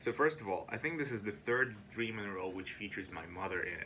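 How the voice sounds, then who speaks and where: The pace is fairly quick, with ordinary pitch variation. Background noise is noticeable. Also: man. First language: Ukrainian or Russian. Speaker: video diarist. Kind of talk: casual monologue. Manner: halting.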